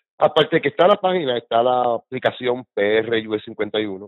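This man has an unremarkable speaking voice of medium pitch. His pitch variation is ordinary. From Puerto Rico. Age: 50s. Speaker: political activist. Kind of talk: casual interview.

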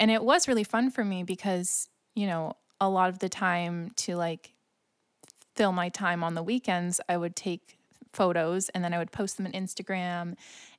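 In a very clean recording with a silent background, a woman with a normal speaking voice talks at a moderate pace, medium in pitch and fairly even in intonation. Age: 20s. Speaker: podcast co-host. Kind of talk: casual chat.

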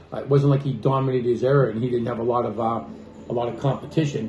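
A man at medium pitch with fairly even intonation, amid audible room echo. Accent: American. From Boston. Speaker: sports podcast host, former coach. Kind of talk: casual chat.

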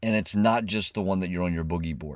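Recorded against a very clean, silent background, a man speaks with lively intonation at a fairly low pitch. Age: 40s. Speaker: podcast host. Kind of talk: motivational monologue.

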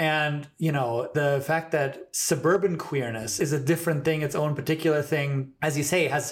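A man's fairly high, somewhat breathy voice at a moderate pace. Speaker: podcast host. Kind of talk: casual interview, chatty.

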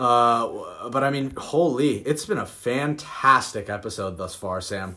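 Lively intonation marks this man's medium-pitched voice. He speaks at a very slow pace. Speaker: podcast co-host. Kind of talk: casual chat.

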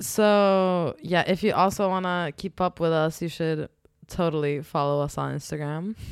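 A woman talks at a moderate pace with fairly even intonation in a plain, everyday voice. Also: fairly low pitch for a woman. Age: 20s. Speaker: podcast co-host. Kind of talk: casual chat.

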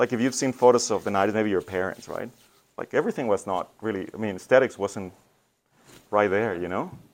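This man talks at a very fast pace with a Spanish accent and a fairly low pitch. The recording is very clean, with a silent background. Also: ordinary pitch variation. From Mexico. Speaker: church communications director. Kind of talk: talk to students. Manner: casual, conversational.

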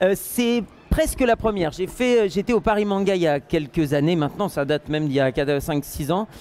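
A man talks at a high pitch with lively intonation and a moderate pace. His loudness stays very even. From northern France. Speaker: voice actor. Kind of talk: interview at a convention. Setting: convention hall, in person.

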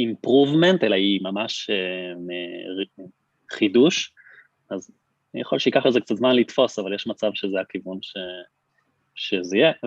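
The pace is fairly slow, with ordinary pitch variation. Long, frequent pauses break up the speech. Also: man, fairly low pitch for a man. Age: 30s. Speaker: startup CTO and co-founder. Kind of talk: podcast interview.

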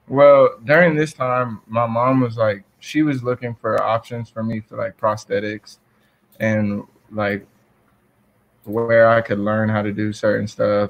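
Fairly slow and fairly even in intonation, a man talks at medium pitch with a Southern US accent. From US South, South Georgia. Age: 20s. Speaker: college basketball player. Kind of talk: interview.

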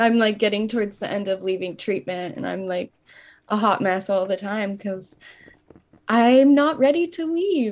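Speaking at a fairly slow pace, a woman with an unremarkable speaking voice keeps a medium pitch and ordinary pitch variation in a very clean recording with a silent background. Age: young. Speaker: podcast co-host in eating disorder recovery. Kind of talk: casual chat.

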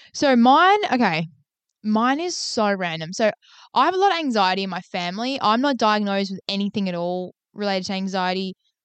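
A woman with a plain, everyday voice speaks at a medium pitch and a fairly quick pace, her intonation lively. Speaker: podcast co-host, healthcare worker. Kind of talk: casual chat.

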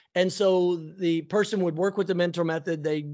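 The speech has an American accent and a fairly quick pace. Pitch variation is ordinary against a quiet background. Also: man. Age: 50s. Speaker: army veteran and mentorship company executive. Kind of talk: interview.

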